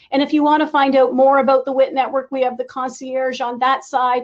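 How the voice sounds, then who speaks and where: A woman speaks fairly quickly in a high voice. Her intonation stays fairly even. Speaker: event host for a women's tech network. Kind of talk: closing remarks at a virtual conference. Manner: fast.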